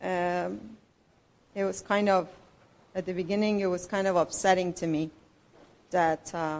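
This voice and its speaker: A woman with a Persian accent speaks at a fairly slow pace. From Iran. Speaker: church member sharing testimony. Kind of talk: testimony.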